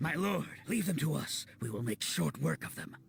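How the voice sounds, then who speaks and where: Putting on a raspy character voice, a man speaks at a fairly high pitch and a moderate pace over light background noise. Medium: video game.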